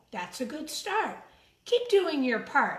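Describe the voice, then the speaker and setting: In a put-on character voice, a woman goes sing-song at a high pitch, with very wide pitch swings and a fairly slow pace. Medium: read story. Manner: sing-song rhyming, encouraging.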